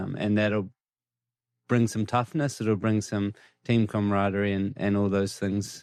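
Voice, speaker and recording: At a moderate pace, a man with a New Zealand accent speaks at a fairly low pitch with fairly even intonation. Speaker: cricket coach and player. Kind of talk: podcast interview answer.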